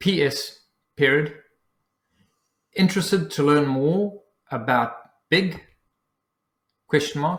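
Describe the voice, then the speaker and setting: A somewhat breathy man with a fairly high pitch and a South African accent, very slow pace, long and frequent pauses, and ordinary pitch variation. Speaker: business coach. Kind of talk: dictating a newsletter aloud. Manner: dictation with spoken punctuation.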